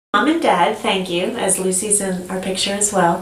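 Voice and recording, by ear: With ordinary pitch variation and a moderate pace, a woman speaks at a medium pitch amid audible room echo.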